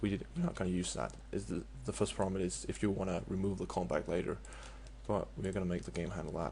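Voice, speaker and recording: At a very fast pace, a man talks with a very deep, low pitch, a dark, mellow tone, vocal fry, and very wide pitch swings. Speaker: game modding tutorial maker. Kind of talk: tutorial. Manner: halting, many fillers.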